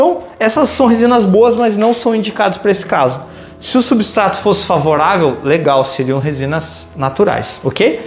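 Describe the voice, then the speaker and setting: Faint music sits behind a man whose voice is high in pitch. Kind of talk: tutorial. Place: office. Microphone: camera far.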